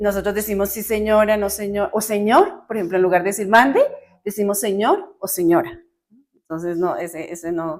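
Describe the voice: With a Colombian accent, a woman speaks at a medium pitch. Her pace is moderate and her pitch variation ordinary.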